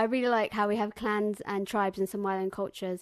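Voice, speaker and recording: Speaking very fast, a woman with a Bristol accent holds a medium pitch. Her intonation is monotone and flat, and the background is quiet. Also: dry, close sound with no echo. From England, Bristol. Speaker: community member interviewee. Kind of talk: interview testimony.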